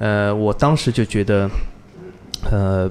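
A man's fairly low voice, fairly slow and monotone, with flat intonation. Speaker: car enthusiast, podcast listener. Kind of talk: casual interview chat. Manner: gentle, soft-spoken.

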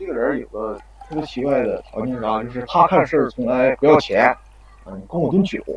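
Amid noticeable background noise, a man at medium pitch speaks at a moderate pace with lively intonation. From Heilongjiang, Harbin Hulan district. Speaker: university student storyteller. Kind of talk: storytelling. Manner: halting. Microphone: echo in places.

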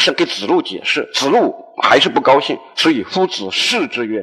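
A man is speaking. His pace is fairly slow. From Hunan, China. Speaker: university lecturer. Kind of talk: public lecture. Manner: halting with fillers.

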